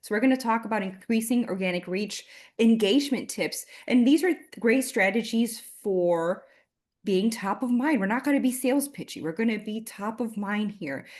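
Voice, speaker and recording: A woman speaks with a Miami accent at a fairly high pitch, her pitch varying in an ordinary way over a quiet background. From Miami, Florida. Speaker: marketing consultant. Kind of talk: webinar presentation. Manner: fast; loud.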